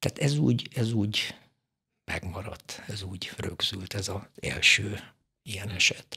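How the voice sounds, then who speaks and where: A man talks at a very slow pace in a fairly low, bright and sharp voice with ordinary pitch variation, over a quiet background. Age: 70s. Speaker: mortician; guest. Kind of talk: casual chat; interview answer. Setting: studio. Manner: halting. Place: studio. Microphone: studio mic.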